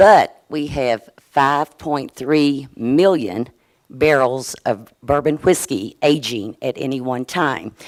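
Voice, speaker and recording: Her pitch is very deep and low, and a woman speaks at a very slow pace with a Southern US accent and lively intonation. The recording is very clean, with a silent background. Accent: Southern US twang. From US South, Kentucky. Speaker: state insurance regulator. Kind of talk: conference presentation. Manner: halting, with fillers.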